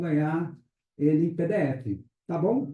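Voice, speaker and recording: A man's high voice carries a dark, mellow tone. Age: 60s. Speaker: pastor. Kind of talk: testimony.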